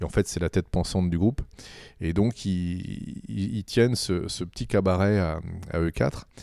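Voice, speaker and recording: The voice moves at a fairly slow pace with ordinary pitch variation and a dark, mellow tone, in a dry, close sound with no echo. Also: man, very deep, low pitch for a man. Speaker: comic book writer. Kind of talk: interview. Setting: studio.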